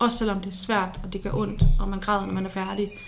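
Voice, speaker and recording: A woman with a medium-pitched voice speaks fairly quickly in a flat monotone, with audible room echo and noticeable background noise. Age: 20s. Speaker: university student sharing experience of psychiatric hospitalization. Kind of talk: personal testimony in interview. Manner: hesitant, many fillers.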